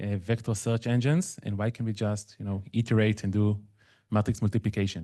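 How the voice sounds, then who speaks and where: A man with an Israeli accent speaks at a fairly quick pace in a fairly low pitch, his tone dark and mellow. The background is quiet. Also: fairly even intonation. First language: Hebrew. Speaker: machine learning consultant. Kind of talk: conference talk. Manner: conversational, with fillers.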